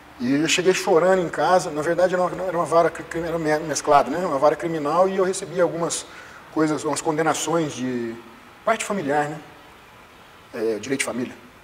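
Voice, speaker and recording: A man's fairly high voice at a fairly quick pace, over noticeable background noise. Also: ordinary pitch variation. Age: 30s. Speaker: jiu-jitsu instructor and personal trainer. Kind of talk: interview.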